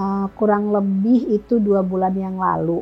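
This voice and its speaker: With music in the background, a woman talks at a fairly slow pace in a medium pitch. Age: 60s. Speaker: customer giving a product testimonial. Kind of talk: testimony. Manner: halting, many filler sounds.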